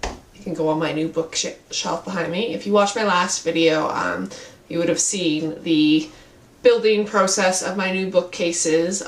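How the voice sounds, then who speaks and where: Over noticeable background noise, a woman speaks at a moderate pace in a fairly low voice. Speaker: book reviewer. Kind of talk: casual talk to camera.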